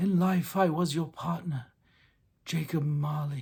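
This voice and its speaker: In a put-on character voice, a man speaks slowly-ish at a fairly slow pace with a fairly high pitch, in a very clean recording with a silent background. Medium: read story. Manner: solemn, sepulchral.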